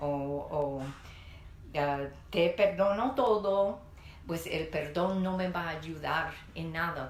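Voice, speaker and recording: A woman with a fairly low pitch speaks at a very slow pace, leaving long, frequent pauses. The room echo is audible, and there is noticeable background noise. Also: ordinary pitch variation. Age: 60s. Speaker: pastor. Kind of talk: sermon.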